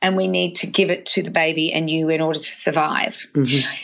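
A woman talks with an Australian accent. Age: 50s. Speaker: nutritionist. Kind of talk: interview.

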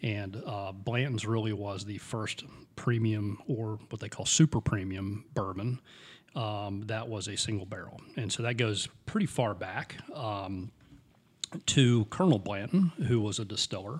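A man speaks at a fairly slow pace in a somewhat breathy, fairly low voice with ordinary pitch variation. The recording is very clean, with a silent background. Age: 50s. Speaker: podcast co-host, bourbon enthusiast. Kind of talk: casual chat.

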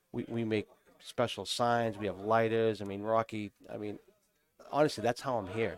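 In a dry, close sound with no echo, a man talks at a moderate pace with a medium pitch and fairly even intonation. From New Hampshire. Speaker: cigar company representative. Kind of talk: casual chat.

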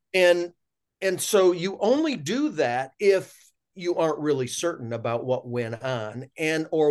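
With an American accent and an unremarkable speaking voice, a man talks at a fairly slow pace using lively intonation. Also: quiet background. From US, rural dairy farm. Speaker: physician. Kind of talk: interview.

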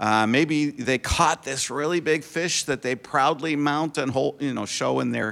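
Using an ordinary speaking voice, a man talks at a moderate pace with ordinary pitch variation and an American accent. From Connecticut. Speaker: retiring missionary. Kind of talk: sermon. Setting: church.

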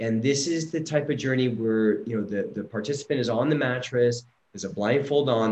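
This man has an unremarkable speaking voice at a medium pitch. His pitch varies in an ordinary way, and he talks at a fairly quick pace. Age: 40s. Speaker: psychedelic retreat facilitator. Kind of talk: personal testimony.

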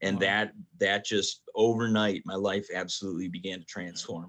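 A man with an American accent talks at a fairly quick pace in a fairly low pitch, his monotone, flat intonation paired with big swings in loudness. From Michigan (Detroit). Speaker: pastor. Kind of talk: casual chat.

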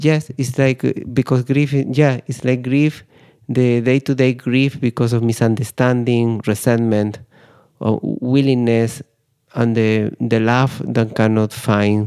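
A man with a Spanish accent speaks at medium pitch in a dark, mellow tone. The sound is dry and close with no echo, and his loudness stays very even. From Spain. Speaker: grief psychotherapist. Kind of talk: interview. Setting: studio.

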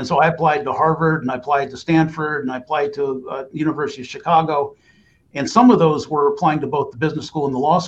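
Talking very fast, a man with an American accent has a fairly high pitch. His intonation stays fairly even. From US East Coast, Reston, Virginia. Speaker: lawyer. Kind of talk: interview.

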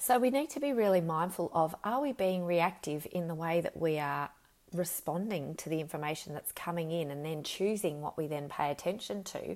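Fairly low in pitch, a woman talks with an Australian accent. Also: moderate pace. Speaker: leadership coach and psychologist. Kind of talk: solo podcast monologue. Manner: unscripted, with fillers.

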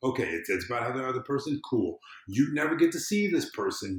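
Vocal fry marks a man's medium-pitched voice. He talks at a fairly quick pace with very wide pitch swings. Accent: American. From US South. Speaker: civic engagement consultant. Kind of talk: casual chat.

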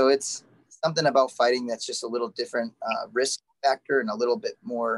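Dry and close with no echo, the recording has a man in an ordinary speaking voice, medium in pitch, moving at a fairly quick pace with ordinary pitch variation. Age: 40s. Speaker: MMA fighter and jiu-jitsu instructor. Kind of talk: interview.

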